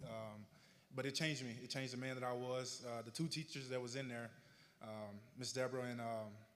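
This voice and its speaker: A man talks at a fairly quick pace in a Southern US accent. His medium-pitched voice has a monotone, flat intonation. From Arkansas, US South. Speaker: honoree telling his life story. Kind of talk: public speech, personal testimony. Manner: slightly slurred from retainers.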